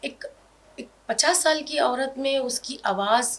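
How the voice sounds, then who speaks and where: A high-pitched woman in a Hyderabadi accent, with ordinary pitch variation. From Hyderabad, India. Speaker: comedic character actor. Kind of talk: interview.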